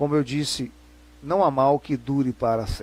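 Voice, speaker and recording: Here a man speaks at a moderate pace. His pitch sits fairly high. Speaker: religious presenter and lecturer. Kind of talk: lecture.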